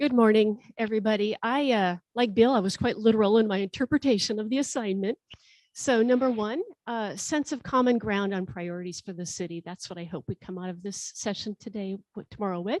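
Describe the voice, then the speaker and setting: In a plain, everyday voice, a woman speaks at a fairly quick pace and fairly high pitch, with ordinary pitch variation and big swings in loudness, on a very clean recording with a silent background and a dry, close sound with no echo. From North Dakota, US. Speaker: city executive. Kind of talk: meeting introductions.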